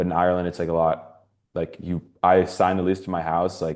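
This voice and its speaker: Over a quiet background, a man with a very deep, low pitch and a Californian accent talks at a fairly quick pace in a monotone, flat way. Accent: Californian American. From US West Coast, San Francisco Bay Area. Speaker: university student. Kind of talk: panel discussion. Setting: webinar. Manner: halting, many fillers.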